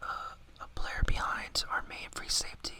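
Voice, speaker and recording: A man whispering and mumbling against noticeable background noise. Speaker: ASMR gaming YouTuber. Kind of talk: casual gaming commentary to camera. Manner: whispered, mumbling, casual.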